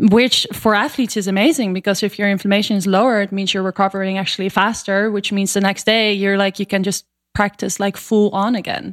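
A woman with a Dutch accent talks at a fairly quick pace with hardly any pauses. Her intonation stays fairly even. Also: medium pitch for a woman, very clean recording, silent background. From Netherlands. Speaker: superfood company co-founder. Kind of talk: interview.

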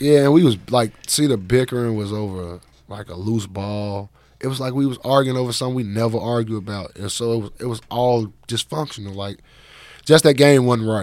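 A man speaks in a normal speaking voice with an American accent, medium pitch and ordinary pitch variation. His pace is fairly quick and his loudness swings a lot. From Chicago. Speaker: former college basketball player. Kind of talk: casual interview.

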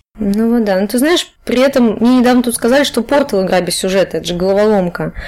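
With ordinary pitch variation, this woman talks at a very fast pace. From Chuvashia, Russia. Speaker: game scriptwriter. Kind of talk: casual podcast interview.

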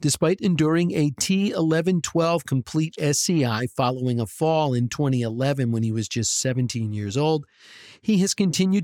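A man with an American accent speaks in an ordinary speaking voice at a fairly slow pace, his fairly high pitch carried by lively intonation, on a very clean recording with a silent background and a dry, close sound free of echo. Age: 50s. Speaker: podcast host. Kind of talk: scripted narration; interview.

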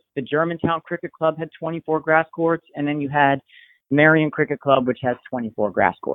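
A man with an American accent talks at a moderate pace, using a fairly high pitch and fairly even intonation. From Pennsylvania (Bethlehem). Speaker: tennis coach. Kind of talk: interview. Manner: hesitant, many fillers.

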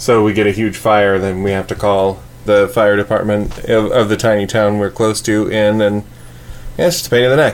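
Noticeable background noise surrounds a man of fairly low pitch who speaks at a moderate pace with fairly even intonation. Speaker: podcast co-host. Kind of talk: casual chat. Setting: home studio. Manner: quiet.

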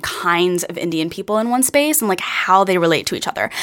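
At a moderate pace, a woman speaks in an ordinary speaking voice at medium pitch. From Pennsylvania. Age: 20s. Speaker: actor and singer. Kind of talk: interview.

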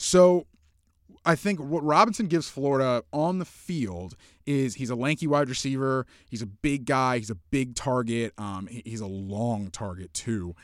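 Heard on a very clean recording with a silent background, a man has an ordinary speaking voice, a medium pitch and a moderate pace. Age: 20s. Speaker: sports writer. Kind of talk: casual chat. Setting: studio.

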